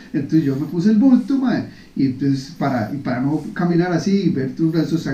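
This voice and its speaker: Amid audible room echo, a man with a fairly high pitch speaks at a fairly quick pace with lively intonation. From Costa Rica. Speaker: podcast host. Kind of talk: casual chat.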